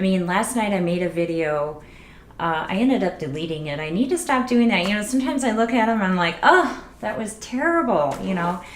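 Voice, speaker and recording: A soft-spoken woman with lively intonation is heard amid audible room echo and noticeable background noise. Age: 40s. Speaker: beauty vlogger. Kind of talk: casual tutorial vlog.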